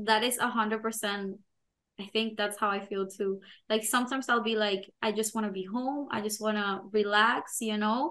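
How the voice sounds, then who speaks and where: A woman's fairly high, bright, sharp voice with fairly even intonation. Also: moderate pace, quiet background. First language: not English. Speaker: podcast co-host, product manager. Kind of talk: casual chat.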